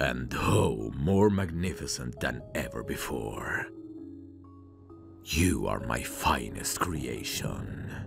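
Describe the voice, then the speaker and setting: Music plays clearly in the background. Over it, a man speaks at a very slow pace. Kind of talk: soft-spoken intimate ASMR roleplay. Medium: audio drama. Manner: soothing, gentle, quietly reassuring; proud, gloating over his work.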